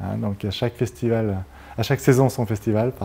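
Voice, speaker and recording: A man speaks in a dark, mellow tone. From France, Grenoble (Isère); France. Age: 50s. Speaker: mayor and surveyor; mayor. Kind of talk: interview. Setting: TV studio set. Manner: halting, many hesitations. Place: studio. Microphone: lapel.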